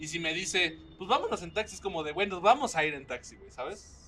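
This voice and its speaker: Over noticeable background noise, a man talks at a fairly quick pace with a Mexican accent. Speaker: podcast host. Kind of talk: casual chat. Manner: animated.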